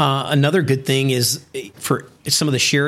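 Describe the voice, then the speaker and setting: A man with a normal speaking voice at medium pitch. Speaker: business founder. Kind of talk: interview. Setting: studio office in China.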